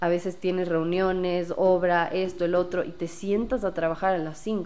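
This is a woman's voice. Its pitch is fairly low. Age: 20s. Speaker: interior designer. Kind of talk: casual chat.

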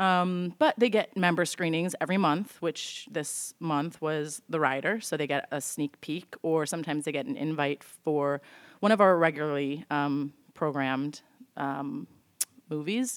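A woman with an American accent speaks at a moderate pace in a very deep, low voice with ordinary pitch variation, on a very clean recording with a silent background. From Chicago area (Evanston). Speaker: cinema membership manager. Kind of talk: casual chat.

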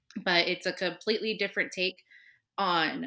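On a very clean recording with a silent background, a speaker with an American accent and a bright, sharp tone talks at a moderate pace with ordinary pitch variation. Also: woman. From Southern California. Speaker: podcast co-host, museum historian. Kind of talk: casual chat.

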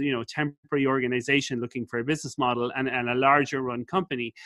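Speaking very fast in an Irish accent, a man with a fairly high pitch and a bright, sharp tone comes through a very clean recording with a silent background and a dry, close sound with no echo. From Ireland. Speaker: business school professor and entrepreneur. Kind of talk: interview. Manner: animated.

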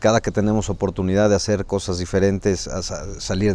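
A man with a normal speaking voice, fairly low pitch and moderate pace. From Mexico, Puebla. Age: 40s. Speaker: state legislator. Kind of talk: interview.

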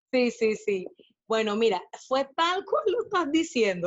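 A woman's high-pitched voice. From Panama. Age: 40s. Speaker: body positive activist and blogger. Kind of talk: casual interview chat.

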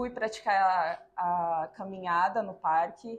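A woman's somewhat breathy voice moves through ordinary pitch variation. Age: 40s. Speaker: multiple sclerosis patient and physical educator. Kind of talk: interview testimony.

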